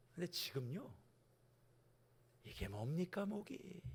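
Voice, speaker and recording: A man speaks with vocal fry at a very slow pace. His pitch makes very wide swings. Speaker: senior pastor. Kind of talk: sermon. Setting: church, early-morning revival service. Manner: loud.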